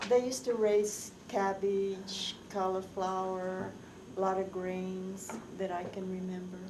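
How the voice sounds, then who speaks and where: The voice carries an American accent and flat, monotone intonation at a very slow pace. There is audible room echo and noticeable background noise. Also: woman, medium pitch for a woman. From Colorado (Greeley area), US. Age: 70s. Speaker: oral history interviewee. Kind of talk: oral history interview.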